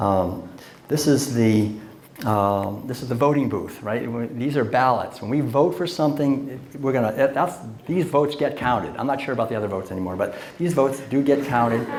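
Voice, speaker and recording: Noticeable background noise and audible room echo accompany this man, whose medium pitch shows ordinary variation as he talks at a moderate speed. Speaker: lecturer and author. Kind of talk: lecture. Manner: conversational with fillers.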